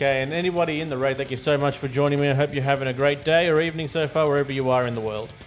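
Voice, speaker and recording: A man's fairly high voice at a very fast pace, fairly even intonation and hardly any pauses, with music in the background. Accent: Australian. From Australia. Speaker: video game streamer. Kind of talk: gameplay livestream commentary. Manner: casual, with filler words.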